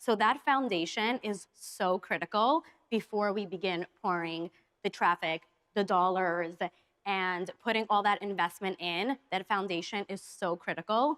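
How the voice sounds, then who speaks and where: A woman speaks in a plain, everyday voice, at a medium pitch with an American accent and ordinary pitch variation. The recording is very clean, with a silent background and a dry, close sound with no echo. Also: fairly slow pace. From New York. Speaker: agency executive. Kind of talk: panel discussion.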